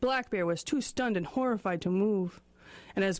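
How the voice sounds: What you hear is a natural reading voice.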